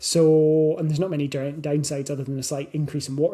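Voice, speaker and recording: A man with a Scottish accent speaks at a fairly quick pace in a flat monotone, his somewhat breathy voice dark and mellow in tone. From Scotland. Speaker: weight loss coach. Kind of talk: podcast monologue. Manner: casual, with fillers and self-corrections.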